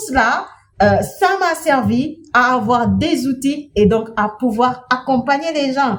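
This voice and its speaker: Speaking at a very slow pace, a woman with a non-native accent talks at a high pitch. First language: not French (speaking French). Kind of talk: inspirational talk.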